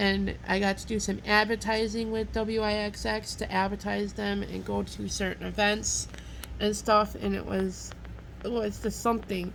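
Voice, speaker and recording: The delivery moves at a moderate pace with audible room echo. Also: woman. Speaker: vlogger and restaurant worker. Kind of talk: casual monologue vlog. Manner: loud.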